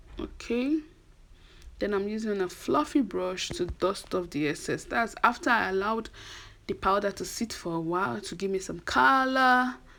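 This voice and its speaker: A woman with a Nigerian accent speaks at a moderate pace in a medium pitch, her bright, sharp tone swinging very widely in pitch on a very clean recording with a silent background. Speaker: beauty vlogger. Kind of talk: tutorial. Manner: casual, chatty.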